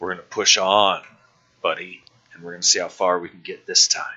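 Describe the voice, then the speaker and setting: Raspy and fairly quick, a man's put-on character voice with big swings in loudness. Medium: actual play.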